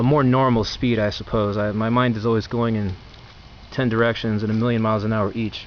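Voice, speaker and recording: A man talks fairly quickly and with fairly even intonation, noticeable background noise running behind him. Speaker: video blogger reviewing food. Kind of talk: casual talk-to-camera review. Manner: fast; halting, many fillers and restarts.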